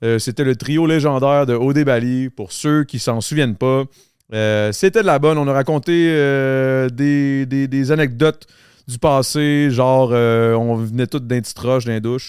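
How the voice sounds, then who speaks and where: In a Quebec accent, a man talks at a fairly slow pace. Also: medium pitch for a man, ordinary pitch variation. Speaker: podcast host. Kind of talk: casual chat.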